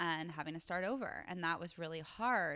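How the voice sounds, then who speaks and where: A woman's fairly low, bright, sharp voice with vocal fry and an American accent, at a moderate pace, on a very clean recording with a silent background. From US East Coast. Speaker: wellness entrepreneur and yoga teacher. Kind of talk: interview conversation.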